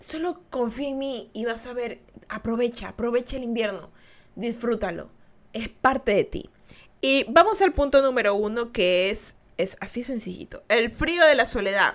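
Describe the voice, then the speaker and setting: A high-pitched woman speaks at a fairly slow pace with an animated tone. Her intonation is lively, and her loudness swings widely. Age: 20s. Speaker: podcast host. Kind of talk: casual chat. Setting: live stream.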